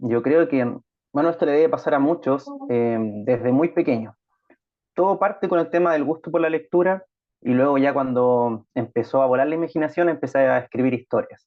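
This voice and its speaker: Speaking in a Chilean accent, a man uses a fairly high pitch with ordinary pitch variation. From Chile, Concepción. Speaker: writer. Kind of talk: interview.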